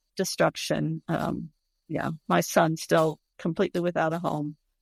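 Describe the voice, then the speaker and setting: Vocal fry comes through on a very clean recording with a silent background and a dry, close sound with no echo. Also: woman. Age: 70s. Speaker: hospice nurse. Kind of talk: interview conversation.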